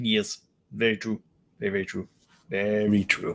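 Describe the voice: A man puts on a character voice, fairly low in pitch, and talks at a moderate pace.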